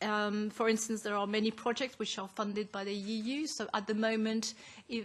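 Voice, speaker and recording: Fairly even intonation from a somewhat breathy woman, her pitch fairly high. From France. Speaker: advocacy group co-founder. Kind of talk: formal presentation. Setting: parliamentary committee hearing. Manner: formal.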